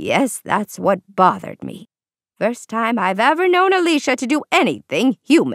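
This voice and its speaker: Cackling in a put-on character voice, a woman speaks at a fairly high pitch and a moderate pace, her pitch swinging very widely, in a dry, close sound with no echo. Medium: read story. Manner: crisp, old-fashioned, dramatic.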